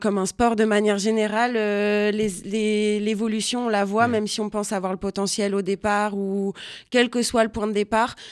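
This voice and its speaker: The woman's fairly high voice moves at a fairly slow speed, its intonation flat and monotone. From Réunion. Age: 20s. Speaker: singer-songwriter. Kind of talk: interview. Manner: halting, many repetitions.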